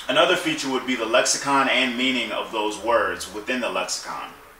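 A man speaks at a moderate pace in a fairly high pitch, his intonation fairly even, with audible echo in the room. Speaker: book reviewer. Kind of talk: educational explainer to camera. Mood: calm, thoughtful. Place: home room.

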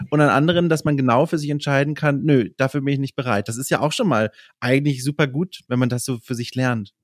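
On a very clean recording with a silent background and a dry, close sound with no echo, a man speaks at a very fast pace. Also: fairly high pitch for a man, ordinary pitch variation. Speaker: podcast host and journalist. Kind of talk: casual interview chat.

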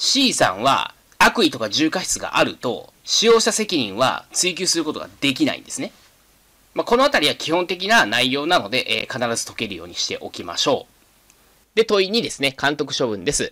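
A man speaks at a moderate pace, his loudness swinging widely. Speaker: exam prep instructor. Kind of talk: lecture.

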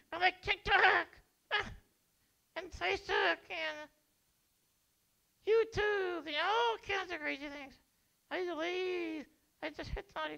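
A cartoonish character voice at an extremely high pitch, fairly slow, with long, frequent pauses. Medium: puppet show. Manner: dull, sluggish, stubborn.

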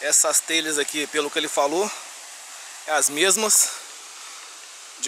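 There is light background noise and a dry sound with no echo. A man speaks at a fairly slow pace with fairly even intonation. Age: 30s. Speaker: motorcycle vlogger, police officer; motorcycle vlogger. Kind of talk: vlog narration while riding. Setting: outdoors on a motorcycle. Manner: casual, rambling narration. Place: farm.

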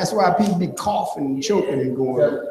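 There is audible room echo and light background noise as a man talks. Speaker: church pastor. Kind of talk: sermon preaching to congregation. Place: church. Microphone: camera far.

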